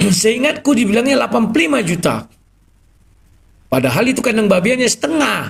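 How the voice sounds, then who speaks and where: Speaking at a fairly quick pace with lively intonation, a man with a high voice keeps his loudness very even but leaves long, frequent pauses. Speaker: live stream host taking callers. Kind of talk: live stream talk with callers. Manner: explosive, loud.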